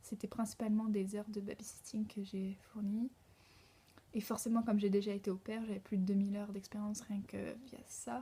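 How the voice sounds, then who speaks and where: At a moderate pace, this voice comes across somewhat breathy, with a dark, mellow tone and monotone, flat intonation. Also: woman, medium pitch for a woman. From France. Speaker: au pair vlogger. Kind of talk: casual vlog monologue. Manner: hesitant, many fillers.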